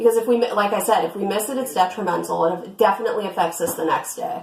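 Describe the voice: A woman talks at a fast pace in a medium pitch, her tone slightly mellow and her pitch varying in an ordinary way, with audible room echo around her.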